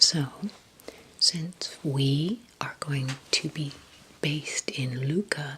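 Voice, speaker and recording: Calm and soft-spoken, a woman with a very deep, low voice talks at a very slow pace with long, frequent pauses and ordinary pitch variation over noticeable background noise. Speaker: travel vlogger. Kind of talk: casual talk to camera, travel tips. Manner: calm, soft-spoken, conversational.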